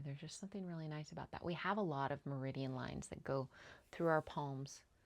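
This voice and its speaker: On a very clean recording with a silent background, a woman speaks very fast with ordinary pitch variation. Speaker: EFT tapping coach. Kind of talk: tutorial; guided tapping session. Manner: calm, gentle.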